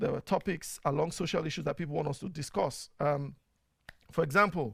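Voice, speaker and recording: The speaker has a Nigerian accent, heard on a very clean recording with a silent background. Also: man. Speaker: talk show host and media producer. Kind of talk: casual talk show monologue. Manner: conversational, frequent fillers and repetitions.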